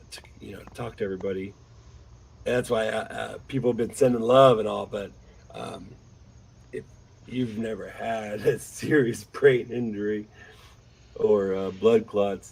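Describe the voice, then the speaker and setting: Speaking at a moderate pace, a man leaves long, frequent pauses, and his loudness swings widely. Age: 30s. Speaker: podcast host recovering from blood clot. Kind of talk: casual chat. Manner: halting.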